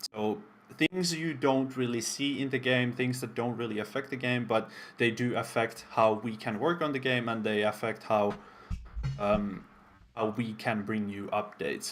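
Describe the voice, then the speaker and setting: At a moderate pace, the speaker talks with a non-native accent and ordinary pitch variation. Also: man, medium pitch for a man. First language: not English. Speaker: game developer community stream host. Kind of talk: live stream presentation. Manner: casual, with frequent fillers.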